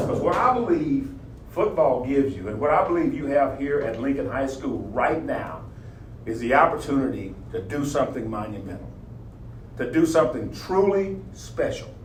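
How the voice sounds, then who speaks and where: A man with an American accent is heard with audible room echo and noticeable background noise. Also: moderate pace. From US South, southern Oklahoma. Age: 70s. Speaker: motivational speaker, former football coach. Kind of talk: motivational talk. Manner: animated.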